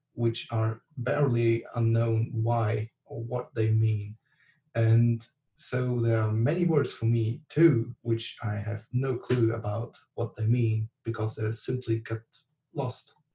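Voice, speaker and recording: The voice is somewhat breathy and dark, mellow in tone, with a German accent. It moves at a very slow pace with fairly even intonation. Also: man, medium pitch for a man. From Germany. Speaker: class participant. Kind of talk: online class discussion. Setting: video call. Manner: halting, many fillers.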